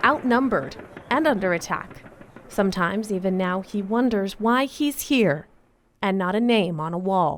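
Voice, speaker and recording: Lively in intonation, a woman talks in a normal speaking voice with a medium pitch. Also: moderate pace. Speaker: news anchor. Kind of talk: news feature narration.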